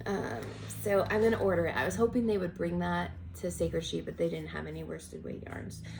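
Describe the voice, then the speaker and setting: A woman speaks fairly quickly in a space with audible room echo, and noticeable background noise is present. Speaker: knitting podcaster. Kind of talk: casual chat.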